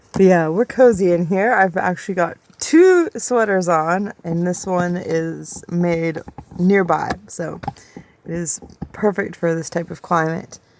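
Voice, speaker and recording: At a fairly slow pace, a woman speaks in a fairly low pitch with noticeable background noise around her. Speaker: vanlife vlogger. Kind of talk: casual vlog monologue. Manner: loud; animated.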